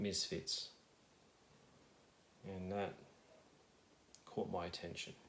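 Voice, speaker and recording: A man with an Australian accent, a very deep, low pitch and a very slow pace, with audible room echo. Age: 30s. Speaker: ASMR youtuber, vinyl collector. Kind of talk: casual ramble. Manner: halting, many fillers.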